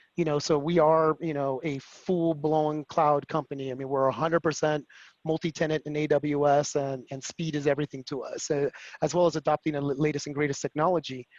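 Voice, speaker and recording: A man with a Spanish accent speaks fairly quickly in a fairly high pitch and a monotone, flat intonation, the sound dry and close with no echo. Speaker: security executive at a cloud company. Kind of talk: webinar panel discussion. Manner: fast.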